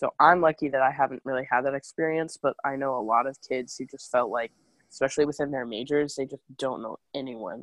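Here a woman speaks with an American accent at a very deep, low pitch and fairly even intonation. The sound is dry and close, with no echo. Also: fairly quick pace. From New York City and New Jersey. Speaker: college student. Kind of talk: interview. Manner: hesitant with fillers.

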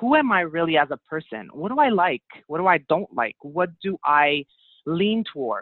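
This woman's voice sits fairly low. Her pitch swings very widely. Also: moderate pace. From Montreal, Quebec. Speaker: life coach, former radio host. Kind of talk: interview conversation.

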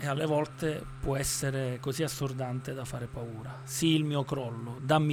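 Speaking at a moderate pace, a man uses a fairly high pitch and a monotone, flat intonation. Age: 40s. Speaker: radio host. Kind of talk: scripted narration; casual chat. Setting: radio studio.

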